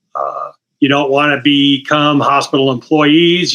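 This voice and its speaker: Bright and sharp in tone, a man speaks at a fairly high pitch and a moderate pace. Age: 60s. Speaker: retired anesthesiologist. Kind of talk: interview.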